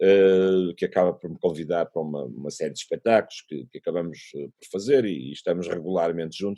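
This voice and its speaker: A man's very deep, low voice with a dark, mellow tone and a European Portuguese accent, fairly quick with hardly any pauses, ordinary pitch variation, big swings in loudness, and a dry, close sound with no echo. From Portugal. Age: 50s. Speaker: musician. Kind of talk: interview answer. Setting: remote call.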